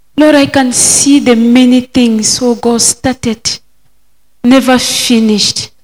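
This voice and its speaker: A woman talks very slowly, her fairly high pitch held in fairly even intonation. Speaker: participant leading prayer. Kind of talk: prayer.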